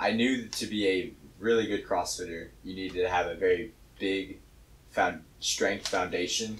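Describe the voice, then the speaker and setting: Somewhat breathy and fairly low in pitch, a man speaks at a moderate pace with fairly even intonation over light background noise. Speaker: weightlifter and CrossFit coach; CrossFit coach. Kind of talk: casual chat. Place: gym.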